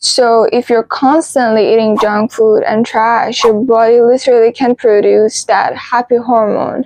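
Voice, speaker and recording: Speaking at a fairly slow pace with a non-native accent, a woman uses a high voice, heard in a dry, close sound with no echo. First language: not English. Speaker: vlogger. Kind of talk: personal vlog narration.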